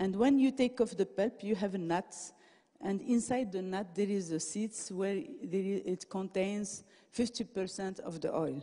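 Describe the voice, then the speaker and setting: At a very slow pace, a woman with a non-native accent speaks in a dark, mellow tone at a medium pitch. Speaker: professor giving a conference talk. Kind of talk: lecture. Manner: halting, many fillers and restarts.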